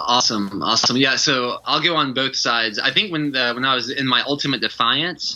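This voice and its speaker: Speaking at a fairly quick pace, a man with an American accent has a bright, sharp tone and ordinary pitch variation. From Georgia, US South. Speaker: retreat leader. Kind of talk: podcast interview. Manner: animated.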